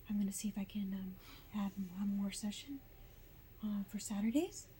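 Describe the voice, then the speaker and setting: The speaker sounds somewhat breathy, talking at a moderate pace with fairly even intonation. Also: woman, medium pitch for a woman. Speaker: patient recovering from surgery. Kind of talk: casual chat. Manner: halting.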